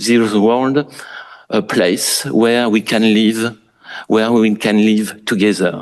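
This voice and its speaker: A man talks at a very slow pace in a strong French accent. His pitch sits in the medium range. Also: quiet background. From France. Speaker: architect. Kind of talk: lecture. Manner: formal.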